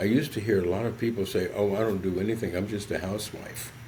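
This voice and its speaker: A man talks with an American accent, sounding somewhat breathy. Audible room echo surrounds his voice. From US South, southern West Virginia. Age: 70s. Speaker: psychologist. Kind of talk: podcast interview.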